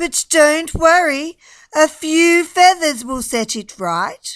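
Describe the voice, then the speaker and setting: In a put-on character voice at extremely high pitch, a woman speaks at a very slow pace with big swings in loudness. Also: lively intonation. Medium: read story. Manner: fluttery.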